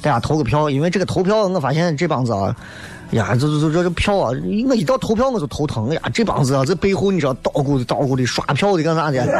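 Over noticeable background noise, a man talks at a very fast pace in an animated tone with lively intonation and very even loudness. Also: fairly high pitch for a man. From Xi'an, Shaanxi. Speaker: radio talk show host. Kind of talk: live call-in radio talk show. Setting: radio studio.

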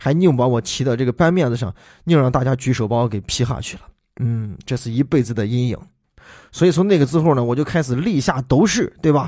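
Speaking at a fairly quick pace, a man has a dark, mellow tone and a Shaanxi accent. The recording is very clean, with a silent background. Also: medium pitch for a man, ordinary pitch variation. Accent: Shaanxi-accented Mandarin. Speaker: podcast host and voice dubber. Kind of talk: casual monologue. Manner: animated.

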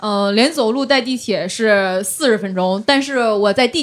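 This woman's pitch varies in an ordinary way. She talks at a fairly slow speed. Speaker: stand-up comedian with a finance job. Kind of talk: casual chat.

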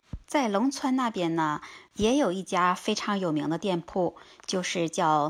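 A woman speaks at a fairly slow pace with very wide pitch swings, on a very clean recording with a silent background. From China. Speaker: vlogger. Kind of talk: casual travel-food vlog talk. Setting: outdoors under cherry tree.

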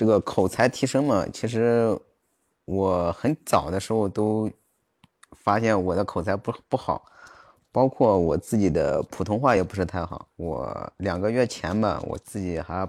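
With a dry, close sound and no echo, a man speaks at a fairly slow pace in a fairly low voice with ordinary pitch variation. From Jiaozuo, Henan, China. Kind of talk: casual chat. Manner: halting.

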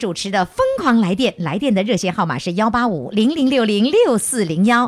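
A woman's voice over noticeable background noise. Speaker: radio host. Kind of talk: live radio call-in show with audience. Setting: stage with audience.

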